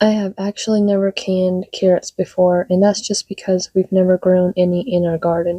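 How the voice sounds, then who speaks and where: In a dry, close recording with no echo, a woman speaks at a moderate pace with a medium pitch, a dark, mellow tone and monotone, flat intonation. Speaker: home cook and canning vlogger. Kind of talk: casual kitchen vlog narration.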